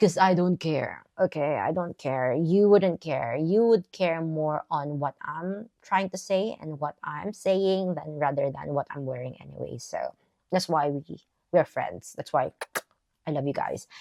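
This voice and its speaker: A woman talks at a fairly slow pace in a Filipino accent. Her very deep, low voice sounds dry and close, with no echo. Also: ordinary pitch variation. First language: Tagalog. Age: 40s. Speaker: vlogger. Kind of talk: casual chat. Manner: casual, hesitant with fillers.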